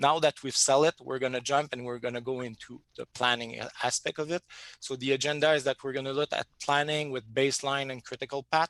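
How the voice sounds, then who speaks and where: Speaking at a fairly quick pace, a man keeps a medium pitch and a monotone, flat intonation, the sound dry and close with no echo. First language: French. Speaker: software company presenter. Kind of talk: webinar presentation. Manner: halting.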